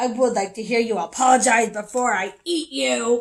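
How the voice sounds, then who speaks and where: In a put-on character voice, a female-sounding speaker growls at a fairly high pitch and a moderate pace. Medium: read story. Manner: boastful, gruff.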